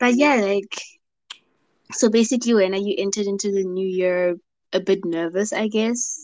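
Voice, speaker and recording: At a moderate pace, a woman speaks with medium pitch and ordinary pitch variation, leaving long, frequent pauses. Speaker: podcast co-host and radio broadcaster. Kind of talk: casual chat. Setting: video call. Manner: laid-back.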